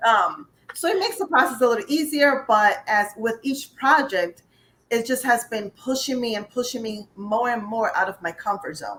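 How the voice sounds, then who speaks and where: A woman with an American accent has a high pitch and lively intonation. She speaks at a moderate pace. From upstate New York. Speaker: life and career coach, author. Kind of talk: interview.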